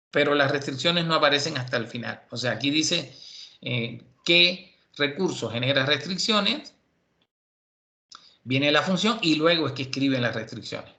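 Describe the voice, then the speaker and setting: The tone is bright and sharp, moving at a moderate pace with ordinary pitch variation. Long, frequent pauses break the speech, and room echo is audible. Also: man, fairly high pitch for a man. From Cuba. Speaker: university lecturer. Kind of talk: lecture.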